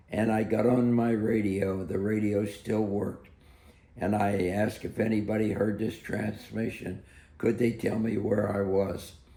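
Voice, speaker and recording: Speaking fairly slowly with an American accent, a man with a fairly low pitch and a dark, mellow tone holds a flat monotone amid audible room echo. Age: 80s+. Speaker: war veteran. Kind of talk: interview storytelling.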